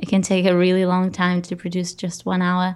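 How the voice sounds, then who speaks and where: Here a woman speaks with a Portuguese accent and medium pitch. The recording is very clean, with a silent background. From Portugal. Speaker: podcaster and music curator. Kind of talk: interview.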